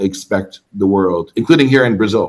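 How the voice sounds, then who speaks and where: Here is a man with a plain, everyday voice. His pitch is medium, with ordinary pitch variation. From Canada, Toronto. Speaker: travel content creator. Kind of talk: interview.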